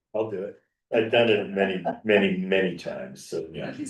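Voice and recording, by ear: A man talks in a fairly low pitch. His voice carries vocal fry. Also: ordinary pitch variation, moderate pace, big swings in loudness.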